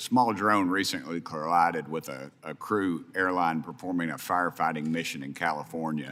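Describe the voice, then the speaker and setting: With a Tennessee accent, a man speaks at a fairly quick pace in a very deep, low voice. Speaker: congressman. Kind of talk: congressional hearing questioning.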